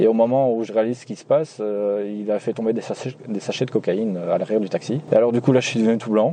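Amid noticeable background noise, a man at medium pitch talks at a very fast pace with hardly any pauses and fairly even intonation. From Belgium, Nivelles (Walloon Brabant). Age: 20s. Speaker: taxi driver. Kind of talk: storytelling interview.

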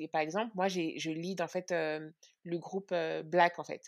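The recording is very clean with a silent background. The delivery is monotone, with flat intonation. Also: woman. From France. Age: 30s. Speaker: podcast co-host. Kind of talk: interview testimony.

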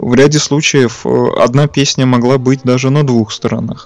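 Noticeable noise sits in the background. Over it, a man talks at a fairly slow pace. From Leningrad / Saint Petersburg, Russia. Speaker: record collector and engineer. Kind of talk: guest talking about records on a radio show. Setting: radio broadcast, remote from studio.

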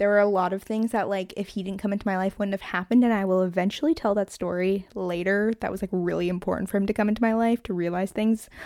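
Animated in tone, a woman of medium pitch speaks at a very fast pace with hardly any pauses, the sound dry and close with no echo. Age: 20s. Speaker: podcast host. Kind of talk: solo monologue, casual chat. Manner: fast talker, excitable, hyper; animated, laughs often.

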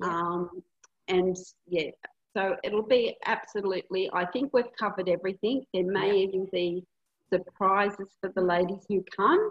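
A woman with an Australian accent, medium pitch and a moderate pace. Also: fairly even intonation. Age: 60s. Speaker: hypnotherapist and retreat facilitator. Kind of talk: casual interview.

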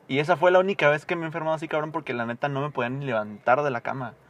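Pitched fairly high, a man speaks at a very fast pace. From Mexico, Morelia, Michoacán. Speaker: podcast guest. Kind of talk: casual chat.

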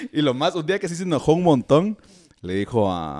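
A man with a Guatemalan accent speaks in a dark, mellow tone, his pitch swinging very widely. The sound is dry and close, with no echo. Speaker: podcast host. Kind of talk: casual chat.

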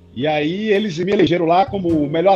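Music plays in the background as a man speaks. His pitch is high and his pace fairly quick. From Brazil, Bahia interior. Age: 40s. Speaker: doctor and para-rowing athlete. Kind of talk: interview on a live stream.

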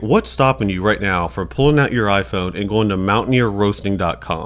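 A man with a plain, everyday voice speaks at a fairly quick pace, his pitch varying in an ordinary way. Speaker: podcast co-host. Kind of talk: casual podcast interview.

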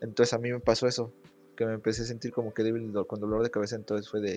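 Behind the voice, the background is quiet. Its intonation stays monotone and flat. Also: man. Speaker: podcast guest. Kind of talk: casual chat.

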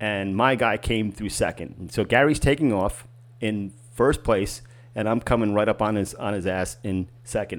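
A man with an ordinary speaking voice and an American accent speaks at a fairly low pitch and a moderate pace with ordinary pitch variation, in a very clean recording with a silent background. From Boston area. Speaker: podcast co-host, marathon runner. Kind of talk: casual chat.

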